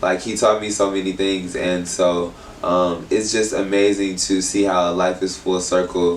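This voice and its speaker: In an American accent, a man speaks fairly slowly with a very deep, low pitch and monotone, flat intonation, with audible room echo and noticeable background noise. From Texas, Houston. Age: 30s. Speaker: creative artist and stylist. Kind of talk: casual interview. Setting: in-person interview at a venue.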